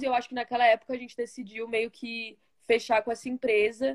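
A woman speaks at a fairly quick pace in a plain, everyday voice. Her pitch sits fairly high, with fairly even intonation. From Brazil, São Paulo (Osasco). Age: 20s. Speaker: college soccer player. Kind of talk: interview.

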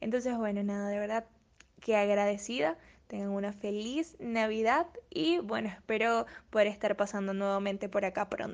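A woman has a normal speaking voice with a medium pitch and ordinary pitch variation. She talks at a moderate pace over a quiet background. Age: 20s. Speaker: model and student presenter. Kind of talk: interview.

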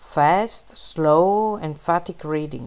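Pitch stays at a medium level as a woman talks, with ordinary pitch variation. Her recording is very clean, the background silent. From Italy. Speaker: poet and editor. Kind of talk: interview answers.

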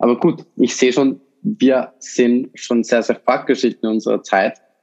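This man talks at a moderate pace. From Austria, Vorarlberg. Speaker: podcast host, startup founder. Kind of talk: casual chat. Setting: studio, sitting across from co-host.

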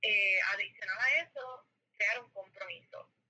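A woman speaks in a fairly high voice with a Puerto Rican accent. Her pace is fairly slow. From Puerto Rico, Mayagüez. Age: 20s. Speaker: entrepreneur. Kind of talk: casual chat.

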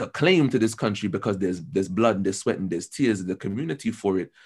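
Speaking very fast with an American accent, a man uses lively intonation. The background is quiet. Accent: American-sounding English. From London. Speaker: university student. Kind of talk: casual interview.

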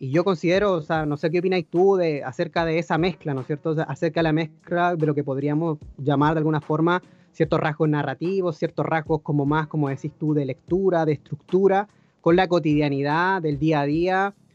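With music in the background, a man in a Chilean accent speaks at a fairly high pitch. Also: fairly even intonation, fairly quick pace. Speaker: podcast host. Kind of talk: casual interview.

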